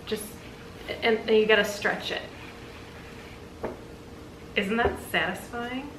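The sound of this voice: A woman's slow, fairly bright voice at medium pitch, ordinary pitch variation, and audible room echo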